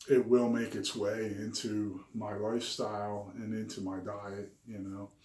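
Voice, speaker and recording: Amid audible room echo, a man speaks at a fairly low pitch with monotone, flat intonation. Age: 50s. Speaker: health and diet vlogger. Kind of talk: personal video diary. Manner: hesitant, many fillers.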